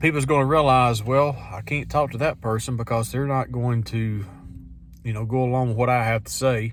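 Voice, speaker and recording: A man with a normal speaking voice talks at a moderate pace, his pitch medium. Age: 50s. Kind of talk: casual talk to camera. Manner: reflective, conversational.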